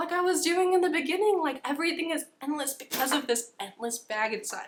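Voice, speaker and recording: A woman with an American accent uses a raised, projected voice. Her intonation is lively. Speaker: YouTuber. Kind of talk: casual chat. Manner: fast.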